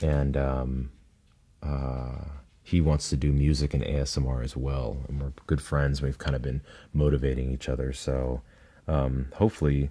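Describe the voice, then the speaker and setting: Soft-spoken and very deep, a man talks at a moderate pace in a monotone, flat delivery with a dark, mellow tone. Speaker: ASMR creator. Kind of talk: ASMR soft-spoken unboxing narration.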